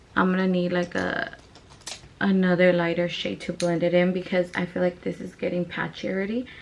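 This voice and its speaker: A woman speaks at a fairly quick pace with a medium pitch. Background noise is noticeable. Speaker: beauty vlogger. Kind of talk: makeup tutorial. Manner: casual, filler-heavy.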